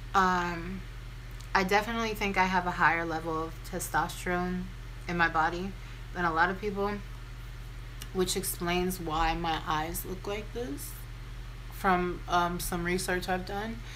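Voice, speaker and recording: A woman speaks at a fairly slow pace with long, frequent pauses, amid audible room echo and noticeable background noise. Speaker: beauty and lifestyle vlogger. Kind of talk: casual chat. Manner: conversational, rambling with fillers.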